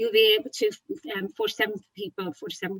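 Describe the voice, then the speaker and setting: A woman speaks with an Irish accent at a fairly quick pace, her pitch swinging very widely. The sound is dry and close, with no echo. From Ireland, Wexford. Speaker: tech marketing speaker. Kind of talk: webinar presentation. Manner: fast; animated.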